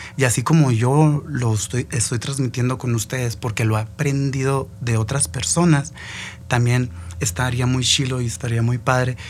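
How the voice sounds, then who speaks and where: The speaker is a man with a medium pitch. He keeps a moderate speed, and his pitch varies in an ordinary way. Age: 20s. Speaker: podcast host, cook. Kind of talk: motivational monologue. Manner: casual, halting with fillers.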